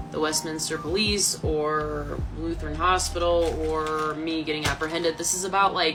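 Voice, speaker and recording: With music behind her and audible room echo, a woman speaks at a moderate pace in a very deep, low voice. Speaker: vlogger telling personal story. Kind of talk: personal testimony vlog. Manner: animated, emotional.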